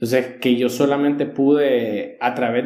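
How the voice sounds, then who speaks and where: With a normal speaking voice at medium pitch, a man speaks at a moderate pace and with fairly even intonation. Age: 20s. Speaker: church leadership teacher. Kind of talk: casual chat on faith.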